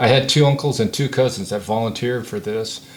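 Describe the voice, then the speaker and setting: With an American accent, a man talks at a fairly quick pace with ordinary pitch variation. Noticeable background noise can be heard. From San Diego, California. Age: 70s. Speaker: war veteran. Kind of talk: oral history interview. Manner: halting, many fillers.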